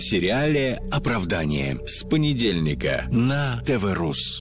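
Very wide pitch swings from a man at a medium pitch, with music in the background. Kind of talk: TV promo announcement.

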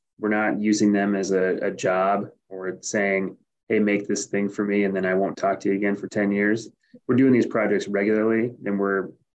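A man speaks in a monotone, flat intonation at a moderate pace and a fairly low pitch. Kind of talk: interview answer. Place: office. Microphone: webcam.

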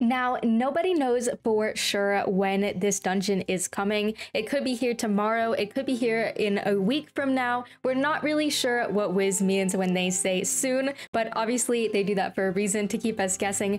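Over light background noise, a woman speaks at a moderate pace with ordinary pitch variation. She hardly pauses at all. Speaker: gaming youtuber. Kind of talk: casual vlog chat. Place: home room.

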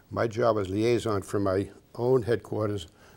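A man speaks with an American accent and a fairly low pitch. There is vocal fry and ordinary pitch variation. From Massachusetts. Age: 80s+. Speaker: war veteran. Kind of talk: interview answer. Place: studio. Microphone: lapel.

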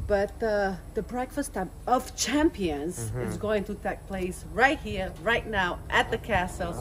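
A woman talks at a fairly slow pace with hardly any pauses. Background noise is noticeable. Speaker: vlogger. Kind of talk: casual vlog chat. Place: garden. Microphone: phone near.

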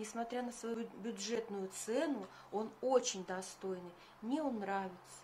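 The delivery from this woman is very slow. Echo from the room can be heard. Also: fairly high pitch for a woman, ordinary pitch variation. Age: 50s. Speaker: beauty vlogger. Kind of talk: tutorial.

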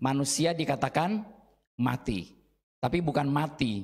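A man speaks at a fairly slow pace, his intonation lively. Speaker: Bible teacher. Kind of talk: Bible study lesson. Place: classroom. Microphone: handheld.

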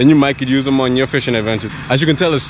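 Noticeable background noise surrounds a man whose voice has a dry sound with no echo. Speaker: fishing vlogger. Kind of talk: casual vlog chat. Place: waterside. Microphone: phone near.

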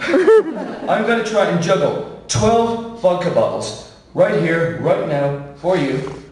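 A man's high voice at a very slow pace, with very wide pitch swings and hardly any pauses, amid audible room echo and light background noise. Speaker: sideshow performer. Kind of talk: live stage patter to audience. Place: stage.

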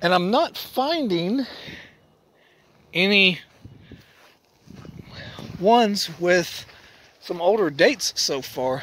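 Very slow and broken by long, frequent pauses, a man's high-pitched voice comes through dry with no echo over light background noise. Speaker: paranormal vlogger. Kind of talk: casual vlog narration. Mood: calm, hushed exploration. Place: open country. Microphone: phone near.

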